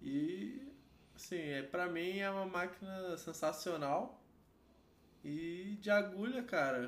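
At a very slow pace with long, frequent pauses, a man with high pitch and lively intonation speaks in a room with audible echo. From Rio de Janeiro, Brazil. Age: 30s. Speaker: tattoo artist. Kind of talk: casual chat.

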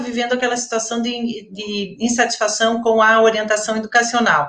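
At a moderate pace, a woman with a fairly high pitch talks in an ordinary speaking voice. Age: 50s. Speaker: retired education professor. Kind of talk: interview. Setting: online live stream.

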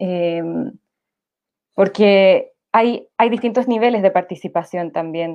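With long, frequent pauses, a woman talks at a very slow pace in a medium pitch with ordinary pitch variation. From Santiago, Chile. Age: 30s. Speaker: nurse, graduate student and political candidate. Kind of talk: panel discussion.

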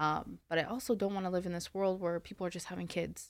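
An ordinary speaking voice from a woman, fairly low in pitch, with fairly even intonation, on a very clean recording with a silent background. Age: 20s. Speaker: life coach and podcast host. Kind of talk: casual chat.

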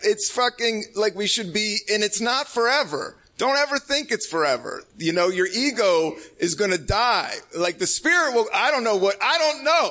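Raising and projecting his voice, a man speaks at an extremely high pitch with very wide pitch swings. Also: moderate pace, very even loudness. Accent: American. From Washington DC. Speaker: stand-up comedian. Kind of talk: live comedy talk show interview. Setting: stage with audience.

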